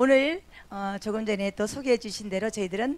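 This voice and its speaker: This woman takes a fairly slow pace, and her pitch varies in an ordinary way. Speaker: event emcee. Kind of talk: event hosting address. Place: church. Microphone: handheld.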